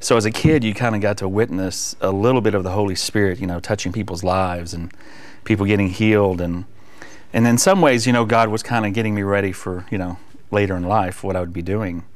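Very fast and with fairly even intonation, a man talks at a fairly low pitch. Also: quiet background. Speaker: guest. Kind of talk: interview answer. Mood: warm, reflective testimony. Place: studio. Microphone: lapel.

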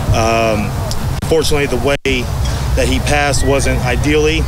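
A man talks at a moderate pace, the sound dry with no echo but with loud background noise. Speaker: veteran. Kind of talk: interview answer. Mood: somber, remembering a fallen sergeant. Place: open country. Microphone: handheld.

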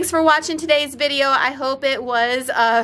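A woman talks at a high pitch and a fairly slow pace. Her tone is bright and sharp.

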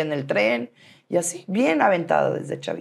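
A woman at a fairly slow pace. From Mexico City. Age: 40s. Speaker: businesswoman; interview guest. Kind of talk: interview. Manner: animated. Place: studio. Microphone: lapel.

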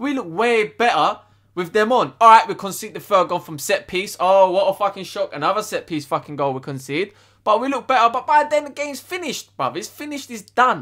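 A man speaks in an angry tone at a fairly quick pace against a quiet background. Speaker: football fan youtuber. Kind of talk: furious profane football rant, shouting and swearing at the team and manager. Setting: solo video to camera. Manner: loud, angry, ranting, packed with swearing and slang. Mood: angry and frustrated. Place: home room. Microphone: webcam.

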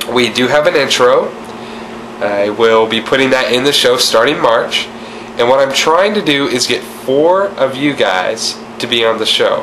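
Over noticeable background noise, a man talks at a fairly slow pace, fairly high in pitch, with lively intonation. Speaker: weight loss vlogger. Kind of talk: casual talk to camera.

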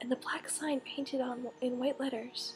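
The voice whispers in a calm, soothing tone at a fairly slow pace. Music plays in the background. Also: woman. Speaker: ASMR creator. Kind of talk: audiobook-style reading of a novel excerpt. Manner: whispered, calm, soothing.

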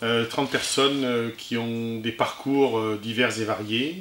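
A man talks in a space with audible room echo and light background noise. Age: 50s. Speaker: municipal election candidate; election candidate. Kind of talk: campaign statement. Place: empty room.

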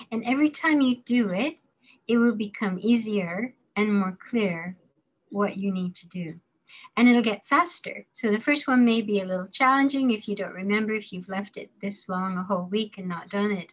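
A woman with a somewhat breathy voice talks at a moderate pace, her pitch varying in an ordinary way. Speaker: course instructor. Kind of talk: lecture. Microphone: webcam.

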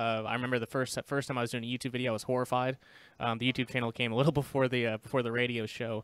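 A man speaks very fast in a flat monotone. The background is quiet and the sound dry with no echo. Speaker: podcast guest. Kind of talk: interview answer. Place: home room. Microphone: studio mic.

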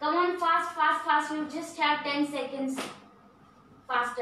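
A woman projects a raised voice at a fairly slow pace with fairly even intonation. Light background noise and audible room echo are present. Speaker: fitness instructor. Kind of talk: workout instruction, counting and cues. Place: home room. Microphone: camera far.

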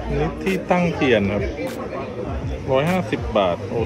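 Over clear music in the background, a man speaks in a dry sound with no echo. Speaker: travel vlogger. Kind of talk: casual vlog commentary. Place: street. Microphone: phone near.

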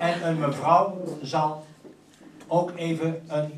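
The speech has fairly even intonation, with light background noise and audible room echo. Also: man. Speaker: bridge club announcer. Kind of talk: speech to a gathering. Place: hall.

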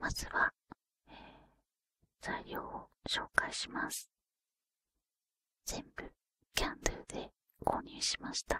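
The speaker whispers at a very slow pace. Long pauses come often. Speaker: ASMR creator. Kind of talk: ASMR craft demonstration. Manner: whispered. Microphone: studio mic.

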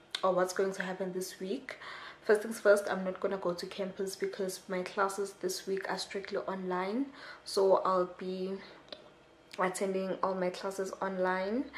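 Over light background noise, a woman talks at a moderate pace in a flat, monotone delivery. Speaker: student vlogger. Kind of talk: casual vlog chat. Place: home room. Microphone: camera far.

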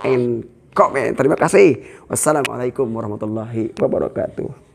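Light background noise runs under this recording. A man talks with ordinary pitch variation. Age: old. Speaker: Islamic preacher and YouTuber; Islamic preacher, YouTuber. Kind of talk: casual vlog. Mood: warm, cheerful, prayerful. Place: home room.

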